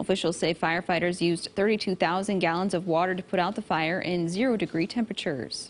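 Against a quiet background, an ordinary speaking voice moves at a fairly quick pace with ordinary pitch variation. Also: woman. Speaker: news anchor. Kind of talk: news reading. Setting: studio.

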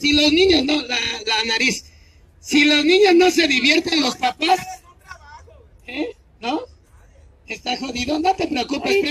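With long, frequent pauses, a man does a put-on character voice at an extremely high pitch. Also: fairly slow pace. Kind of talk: street show barker patter. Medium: stage play. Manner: playful, cajoling.

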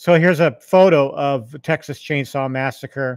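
A man speaks in dry sound with no echo against a quiet background. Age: 50s. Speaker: YouTube gaming channel host. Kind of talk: casual livestream chat. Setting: home arcade livestream with mic. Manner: halting, many fillers. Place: home room. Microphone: studio mic.

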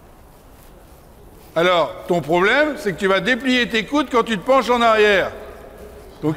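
A man speaks at a very slow pace. His intonation is lively. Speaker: riding instructor. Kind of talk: coaching instructions to a rider. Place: hall.

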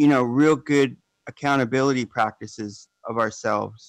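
Over a quiet background, the speaker goes at a moderate pace with fairly even intonation and a dry sound that has no echo. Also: man. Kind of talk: public comment. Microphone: phone line.

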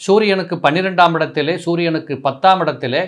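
A man speaks at a fairly high pitch. The background is quiet. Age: 60s. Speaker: astrologer. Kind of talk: talk to camera, advice monologue. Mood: earnest, instructive. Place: office. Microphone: lapel.

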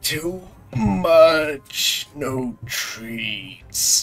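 Raspy put-on character voice at a low-to-middle pitch, with faint music in the background. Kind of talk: crude, broken speech. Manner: pleading, petulant.

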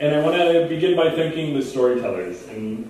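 A man at a moderate pace with ordinary pitch variation, in strong room echo. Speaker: speaker at a community commemoration event. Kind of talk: formal address. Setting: event hall with microphone. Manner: formal, measured public speaking. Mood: earnest, solemn. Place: church.

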